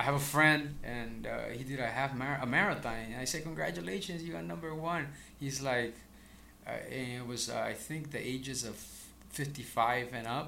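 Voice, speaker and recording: Strong room echo is audible as a man speaks at a medium pitch. His pace is moderate, with ordinary pitch variation. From El Salvador. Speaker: real estate broker. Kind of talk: casual interview.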